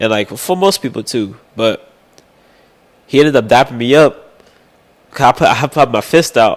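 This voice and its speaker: The speaker's intonation is lively at a moderate pace. Long pauses come frequently. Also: man, medium pitch for a man. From Texas (Austin, Arlington). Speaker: sports media reporter. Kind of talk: casual interview chat.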